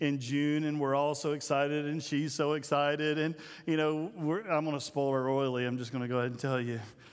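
A man speaks at a fairly quick pace with a fairly high pitch that moves very little.

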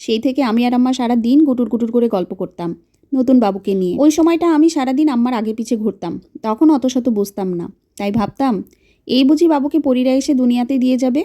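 A woman speaks with a dark, mellow tone and a high pitch. Her pitch varies in an ordinary way. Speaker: storytelling vlogger. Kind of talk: scripted narration.

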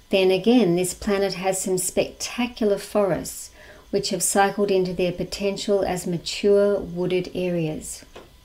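A fairly slow delivery in an Australian accent, with monotone, flat intonation. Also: woman, medium pitch for a woman. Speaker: lecturer, society president. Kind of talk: lecture; Q&A answers. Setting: video call. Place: home room. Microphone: webcam.

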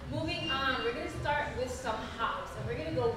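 Noticeable background noise and audible room echo fill the recording. The woman's delivery keeps a moderate speed. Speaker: dance fitness instructor. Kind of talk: workout instruction with counting. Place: garage. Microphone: camera far.

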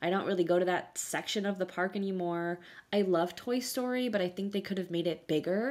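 A woman talks at a fairly quick pace at a medium pitch, with ordinary pitch variation. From South Florida. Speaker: podcast co-host. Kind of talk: casual chat. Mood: nostalgic, animated. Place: home room.

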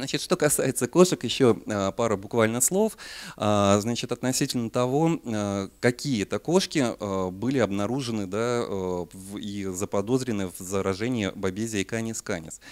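With ordinary pitch variation and a moderate pace, a man talks while the background stays quiet. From Siberia, Russia. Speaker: parasitology researcher and veterinary lecturer. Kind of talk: lecture. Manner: hesitant, many filler sounds. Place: hall.

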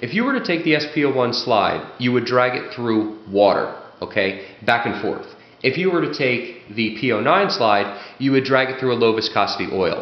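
Moderate-paced speech from a man, broken by long, frequent pauses, with audible room echo. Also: ordinary pitch variation. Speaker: firearms reviewer and competitive shooter. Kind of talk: product review, explanatory monologue. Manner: explanatory, conversational. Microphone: camera far.

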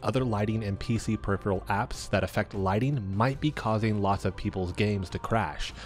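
Over background music, a man speaks at a fairly quick pace in a fairly low voice with ordinary pitch variation. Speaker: gaming YouTuber. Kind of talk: tech tutorial narration.

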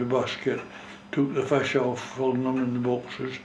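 In a strong North East Scottish accent, a man speaks at a moderate pace, with audible room echo and light background noise. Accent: North East Scots dialect, strong. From North East Scotland, Gourdon; Scotland. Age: 90s. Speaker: retired fishing skipper. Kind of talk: oral history interview. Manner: halting. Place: home room.

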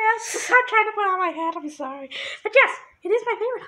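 This put-on character voice has an extremely high pitch and moves at a fairly quick pace. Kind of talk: casual talk to camera. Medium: role play. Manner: playful, excitable.

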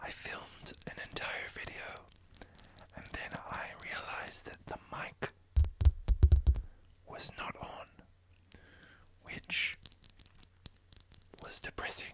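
Someone whispers at a very slow pace, with long, frequent pauses. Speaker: ASMR creator. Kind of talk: ASMR whisper, casual talk to camera. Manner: whispered, soft-spoken. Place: home room. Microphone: studio mic.

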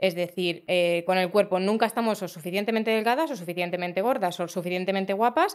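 Against a quiet background, a woman at medium pitch races along at a very fast pace with hardly any pauses and ordinary pitch variation. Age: 40s. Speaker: fashion designer; podcast guest. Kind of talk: casual chat. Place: studio. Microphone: studio mic.

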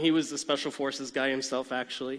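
Against a quiet background, a man speaks in a bright, sharp tone. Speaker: conference presenter. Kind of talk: lecture. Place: stage.

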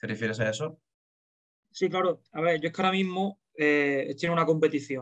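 An unremarkable speaking voice moves at a fairly quick pace with ordinary pitch variation. The background is quiet. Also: man, fairly high pitch for a man. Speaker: athlete answering fan questions. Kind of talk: interview answer. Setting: video call. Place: home room. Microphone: video call.

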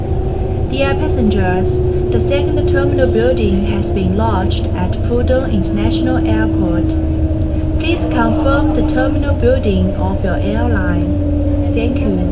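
A woman speaks at a fairly slow pace. Loud noise fills the background. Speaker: recorded train announcer. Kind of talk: public announcement. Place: train.

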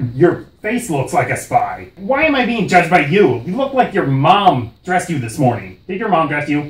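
At a moderate pace, a man talks in a high pitch. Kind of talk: comic overacting. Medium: comedy sketch. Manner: belligerent, ranting, mocking, profane.

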